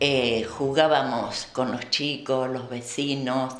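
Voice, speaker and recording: A woman's very deep, low voice in a monotone, flat delivery, with audible room echo and noticeable background noise. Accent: Argentine. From Argentina, Buenos Aires province (Colonia Hinojo). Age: 70s. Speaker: Volga German descendant, former museum worker. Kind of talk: oral history interview. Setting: kitchen of a museum.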